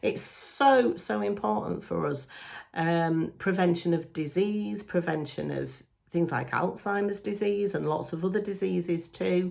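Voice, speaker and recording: A woman with a plain, everyday voice speaks fairly slowly at a fairly low pitch with lively intonation. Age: 40s. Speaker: beauty YouTuber. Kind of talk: casual talk to camera.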